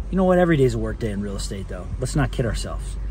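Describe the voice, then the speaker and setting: There is light background noise and a dry sound with no echo. A man is speaking. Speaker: real estate vlogger. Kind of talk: casual vlog chat. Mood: upbeat, cheerful. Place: car. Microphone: phone near.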